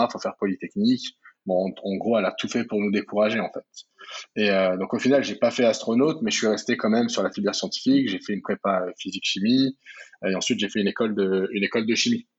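Talking very quickly, a man keeps his intonation fairly even. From France, Paris region (Val-de-Marne). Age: 30s. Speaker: entrepreneur. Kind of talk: interview. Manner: hesitant, many fillers.

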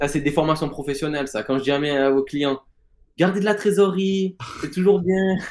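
A man talks at a fairly quick pace, his pitch fairly high with ordinary variation. It is an ordinary speaking voice. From Marseille, southern France. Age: 20s. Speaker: fantasy football player and former sports bettor. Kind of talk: interview.

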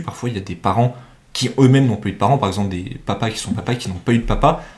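At a fairly quick pace, a man speaks in a somewhat breathy voice. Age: 20s. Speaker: university student and podcast host. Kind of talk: casual chat.

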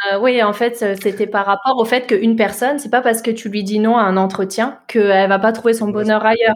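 Over noticeable background noise, a woman talks at a fairly quick pace in a fairly high pitch with hardly any pauses. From southern Alsace, France (Mulhouse). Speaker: tech recruitment entrepreneur. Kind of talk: interview. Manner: energetic.

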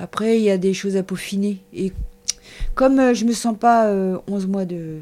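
A woman at medium pitch, with a fairly slow pace and fairly even intonation. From Paris suburbs, France. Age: 50s. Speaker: shepherdess. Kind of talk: interview. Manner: casual, hesitant.

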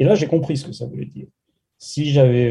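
A man speaks with a dark, mellow tone and ordinary pitch variation. His voice is somewhat breathy. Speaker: political science professor. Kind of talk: interview. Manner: frank, direct.

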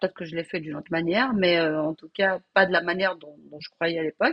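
A woman is speaking against a quiet background. Her sound is dry and close, with no echo. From Algeria (Algiers, Kabyle family). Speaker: home cook and caterer. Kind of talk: interview, life story. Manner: halting, repeats words.

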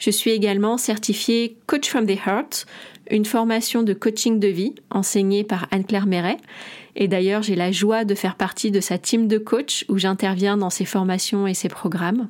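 A woman with a plain, everyday voice speaks at a medium pitch and a fairly slow pace. Her loudness is very even, her intonation fairly even, and the recording very clean with a silent background. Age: 40s. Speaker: naturopath and podcast host. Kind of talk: solo podcast monologue.

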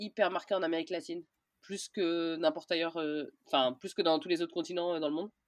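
A woman with a fairly low pitch and ordinary pitch variation is heard in a dry, close sound with no echo over a quiet background. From France, Orléans. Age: 30s. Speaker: traveller, former journalist. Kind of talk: interview. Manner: casual, hesitant with fillers.

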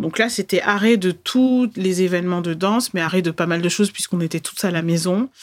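A woman at medium pitch, a normal speaking voice, fairly quick pace, hardly any pauses, and ordinary pitch variation. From France, Bordeaux. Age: 30s. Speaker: podcast host, Instagram coach. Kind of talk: solo podcast monologue.

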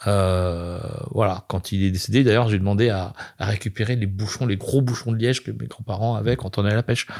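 A man talks at a fairly quick pace. His voice sits fairly low. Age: 50s. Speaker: chef and restaurant owner. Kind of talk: casual interview. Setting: restaurant. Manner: animated.

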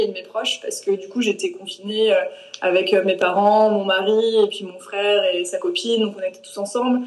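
Against noticeable background noise, the talking keeps a moderate pace and ordinary pitch variation. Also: woman. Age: 20s. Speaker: plant-based nutrition coach. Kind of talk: interview. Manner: hesitant, many fillers.

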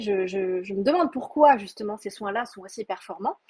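A woman speaks with very wide pitch swings. Her tone is dark, mellow and somewhat breathy. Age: 30s. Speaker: Korean cosmetics expert. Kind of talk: interview. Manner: halting.

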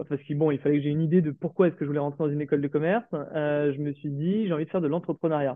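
Talking very quickly, a man keeps his intonation fairly even. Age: 30s. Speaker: restaurant founder and chef. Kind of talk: interview. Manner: hesitant.

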